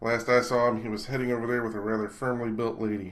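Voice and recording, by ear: Here the words are read aloud in a natural voice.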